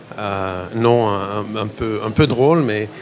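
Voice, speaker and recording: A man speaks with an American accent in a medium pitch with ordinary variation. Noticeable background noise is present. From United States. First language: English (speaking French). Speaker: biotech company CEO. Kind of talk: interview at investor fair. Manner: halting, many repetitions and fillers.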